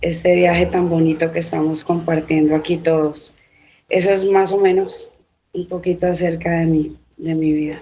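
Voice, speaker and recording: With monotone, flat intonation, a woman talks at a moderate pace in a fairly low pitch. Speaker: novelist and teacher. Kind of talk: interview.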